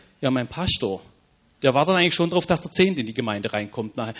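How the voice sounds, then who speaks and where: A man is speaking. His pitch swings very widely. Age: 40s. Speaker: evangelism ministry leader, former pastor. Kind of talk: panel discussion. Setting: stage with audience.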